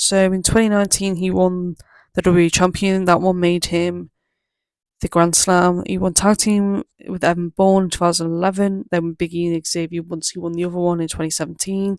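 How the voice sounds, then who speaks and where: The speaker moves at a fairly quick pace in an English accent. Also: very clean recording, silent background. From England. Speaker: wrestling YouTuber. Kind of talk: casual commentary monologue. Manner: fast; halting, many fillers.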